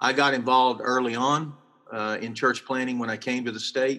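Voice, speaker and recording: With a Texan accent, this man has a bright, sharp tone and a medium pitch, speaking at a moderate pace with ordinary pitch variation. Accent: Texan Southern US. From South Texas, near Corpus Christi. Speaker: pastor. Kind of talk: interview.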